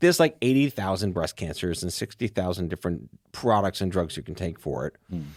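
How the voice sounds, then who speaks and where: A man speaks in a very deep, low voice at a fairly quick pace, with lively intonation. The recording is very clean and dry, close and without echo, over a silent background. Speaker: podcast host. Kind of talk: casual podcast conversation.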